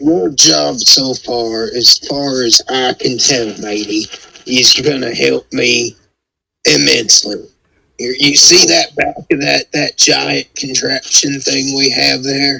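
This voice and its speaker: A raspy put-on character voice from a man, medium in pitch, at a very slow pace. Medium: actual play. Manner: gruff, folksy.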